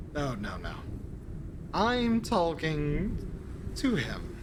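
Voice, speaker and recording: A man in a put-on character voice, high-pitched and very slow, over loud background noise. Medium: actual play. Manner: genteel, sneering, old-fashioned formal phrasing.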